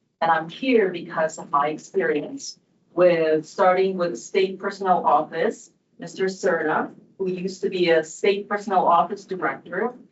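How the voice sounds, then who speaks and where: A woman with a Filipino accent at a moderate pace and medium pitch, with ordinary pitch variation. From Philippines. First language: Tagalog. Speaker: commission member. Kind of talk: candidate statement at public meeting.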